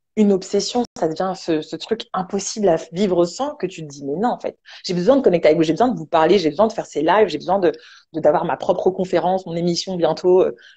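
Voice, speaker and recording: Talking at a very fast pace, a woman of medium pitch sounds animated, with ordinary pitch variation and big swings in loudness. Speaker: online entrepreneur and motivational speaker. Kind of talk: casual talk show chat.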